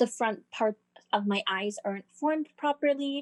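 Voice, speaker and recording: Against a quiet background, a woman with an unremarkable speaking voice talks at a fairly high pitch with ordinary pitch variation, the sound dry and close with no echo. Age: young. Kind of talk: casual chat.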